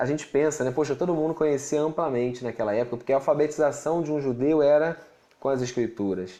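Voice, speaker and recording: A man with a dark, mellow tone and a fairly high pitch talks at a very fast pace with ordinary pitch variation. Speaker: pastor and Bible teacher. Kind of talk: livestream teaching with Q&A. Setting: live stream.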